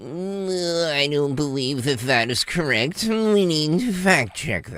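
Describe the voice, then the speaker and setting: Putting on a smug character voice, a man talks at a fairly slow pace with a fairly high pitch. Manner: smarmy, smug, condescending.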